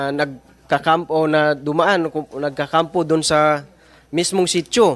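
This man has a fairly high pitch and fairly even intonation. He talks at a fairly slow pace. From Mindanao (Talaingod, Davao del Norte); Davao del Norte. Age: 30s. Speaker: former community teacher. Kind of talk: testimony at a hearing. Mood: earnest, measured. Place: hall. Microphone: podium.

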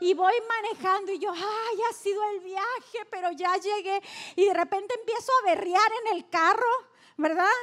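Delivery comes at a fairly slow pace. The intonation holds fairly even. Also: woman, extremely high pitch for a woman. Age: 40s. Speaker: pastor. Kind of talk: sermon. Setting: church. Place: stage. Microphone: handheld.

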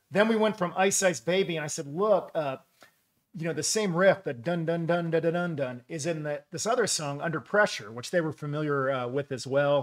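The speech moves at a fairly quick pace with ordinary pitch variation over a quiet background. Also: man. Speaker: pastor. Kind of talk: sermon. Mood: warm, humorous storytelling. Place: studio.

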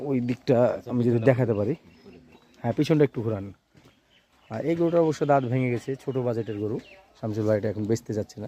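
A man's dark, mellow voice at a medium pitch, with ordinary pitch variation and a dry, close sound with no echo. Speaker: cattle market vlogger. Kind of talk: vlog walkthrough. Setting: outdoors. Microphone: phone recording.

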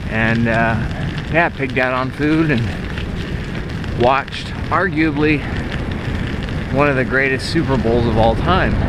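Over loud background noise, a man talks with ordinary pitch variation in a dry sound that has no echo. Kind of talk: casual vlog chat. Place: bicycle. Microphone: phone near.

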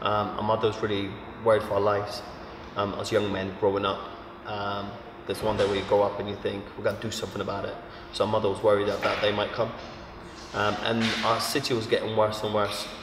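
Noticeable background noise runs behind a man talking at a very fast pace. His pitch is fairly low and his intonation monotone and flat. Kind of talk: interview answer. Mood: reflective, earnest.

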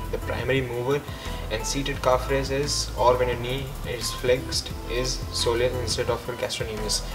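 Clear music sits behind the voice. The talking proceeds at a moderate pace. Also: man. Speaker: fitness coach. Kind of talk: tutorial. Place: gym.

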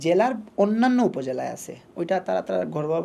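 The speaker is a man with a fairly high pitch. Noticeable background noise runs behind him. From Bangladesh, Sylhet (Moulvibazar). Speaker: tape tennis cricketer. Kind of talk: interview.

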